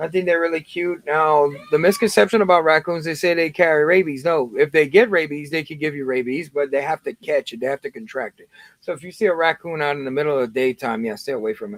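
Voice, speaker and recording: The dry, close sound with no echo carries a very fast pace, ordinary pitch variation and big swings in loudness. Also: man, fairly high pitch for a man. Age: 30s. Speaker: Lego livestreamer. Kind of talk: casual livestream chat.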